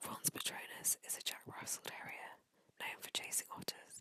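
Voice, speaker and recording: Whispering with a dry, close sound and no echo. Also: woman. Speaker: ASMR creator. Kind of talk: ASMR whispered fact reading. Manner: whispered, slow, reading aloud.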